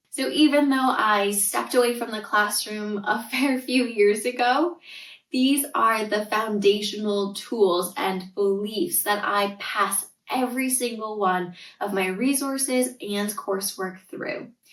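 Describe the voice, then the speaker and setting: In a Canadian accent, a woman talks at a fairly slow pace and a fairly high pitch with ordinary pitch variation, and audible room echo can be heard. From Canada (Northern Ontario). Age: 30s. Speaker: tutor and parenting coach, podcast host. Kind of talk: podcast monologue.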